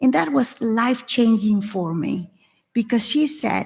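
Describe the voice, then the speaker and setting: With a Venezuelan accent, a woman with a fairly high pitch speaks in a dark, mellow, somewhat breathy tone with lively intonation. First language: Spanish. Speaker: tech executive and panelist. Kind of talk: panel discussion.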